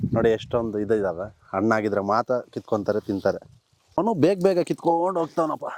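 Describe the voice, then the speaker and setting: A man's medium-pitched voice with very wide pitch swings, in a dry, close sound with no echo. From rural Karnataka, India. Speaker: village vlogger. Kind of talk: casual vlog narration. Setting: outdoors. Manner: animated.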